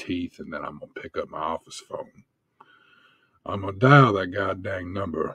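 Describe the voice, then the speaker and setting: A man puts on a character voice, drawling his words. His tone is angry. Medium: actual play. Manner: folksy, drawling, turning angry and profane.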